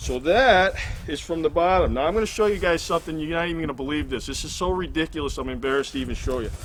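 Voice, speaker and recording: A very fast man's voice, fairly high in pitch, with ordinary pitch variation amid noticeable background noise. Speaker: hiker vlogger. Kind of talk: gear tutorial. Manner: casual, halting with fillers.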